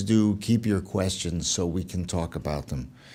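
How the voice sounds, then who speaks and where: With a dark, mellow tone, a man speaks at a moderate pace amid audible room echo. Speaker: music copyright lawyer, lecturer. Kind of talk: lecture.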